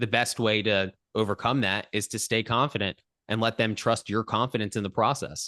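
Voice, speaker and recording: Loud and bright with a sharp tone, a man speaks at a fairly low pitch with fairly even intonation, recorded dry and close with no echo against a quiet background. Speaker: podcast host. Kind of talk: casual interview. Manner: fast.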